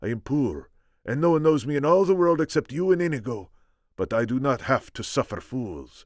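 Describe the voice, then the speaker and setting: A man puts on a character voice at a moderate pace in a very clean recording with a silent background. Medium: read story. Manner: earnest, measured.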